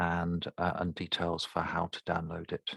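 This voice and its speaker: A man with a London accent, very deep and low in pitch, at a fairly slow pace, in a dry, close sound with no echo. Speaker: speech therapist. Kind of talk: tutorial. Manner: halting.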